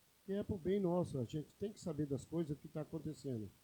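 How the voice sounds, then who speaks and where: A man speaks at a moderate pace in a somewhat breathy, dark, mellow voice pitched fairly high. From São Paulo state, Brazil (interior). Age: 50s. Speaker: city councillor. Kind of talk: council session speech.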